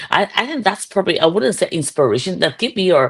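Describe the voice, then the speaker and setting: In a Chinese accent, a woman speaks at a fairly low pitch with very wide pitch swings against a quiet background. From China, Guizhou province. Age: 60s. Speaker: real estate entrepreneur. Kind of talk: interview. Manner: halting.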